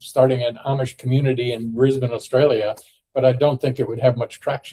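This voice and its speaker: A dark, mellow, somewhat breathy voice with an American accent at a moderate pace, dry and close with no echo. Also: man. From US, Ohio. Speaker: podcast host. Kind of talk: casual discussion. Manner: halting, many fillers.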